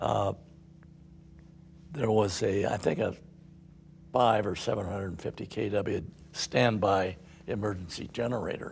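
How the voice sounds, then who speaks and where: Somewhat breathy, a man speaks at a fairly low pitch with ordinary pitch variation. He goes at a fairly slow pace, with long, frequent pauses. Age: 80s+. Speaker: company founder, construction executive. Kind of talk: casual conversation.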